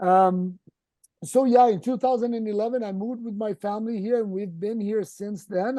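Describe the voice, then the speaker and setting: This man has a Brazilian accent and a high pitch, with a dark, mellow tone and fairly even intonation. He talks at a fairly quick pace, and the sound is dry and close with no echo. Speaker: endodontist. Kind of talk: casual interview. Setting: video call.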